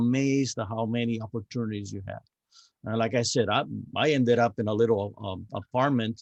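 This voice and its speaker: A man talks in a Spanish accent. His pitch is medium, with ordinary variation. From Cuba. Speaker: navy veteran. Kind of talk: podcast interview. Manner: halting, with repeated words.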